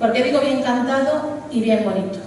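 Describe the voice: A woman's voice has a dark, mellow tone and ordinary pitch variation. Audible echo fills the room.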